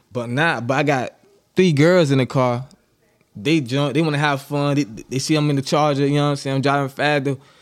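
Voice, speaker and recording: A man with an American accent speaks at a fairly quick pace in a plain, everyday voice, his pitch fairly high and his intonation fairly even. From Miami, Florida. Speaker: podcast guest. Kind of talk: casual chat.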